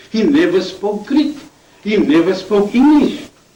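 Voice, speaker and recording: High male voice against clearly noticeable background noise. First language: not English. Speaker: debater. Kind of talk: debate.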